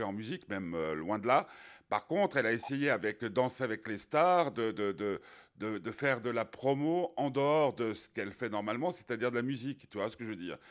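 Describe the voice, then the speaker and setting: In a very clean recording with a silent background, a man talks at a fairly quick pace with lively intonation. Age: 50s. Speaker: radio host. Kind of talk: interview. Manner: halting.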